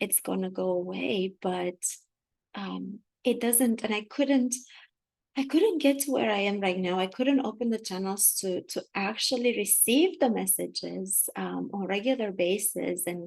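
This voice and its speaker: In a quiet background, a woman speaks with a Romanian accent. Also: fairly slow pace. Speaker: spiritual channeler. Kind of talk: spiritual talk. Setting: livestream on video call. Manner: halting.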